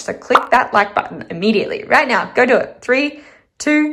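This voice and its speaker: A woman speaks in an animated tone with an Australian accent. Her intonation is lively. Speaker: budgeting vlogger and teacher. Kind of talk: casual vlog talk to camera.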